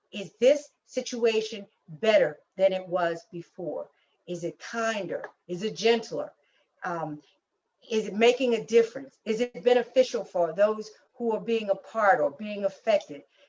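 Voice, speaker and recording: A woman speaks with a fairly high pitch. Her loudness swings widely. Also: ordinary pitch variation, fairly slow pace. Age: 60s. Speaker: leadership workshop presenter. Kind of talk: closing remarks in a leadership webinar. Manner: halting, with repeated words. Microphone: unstable internet connection.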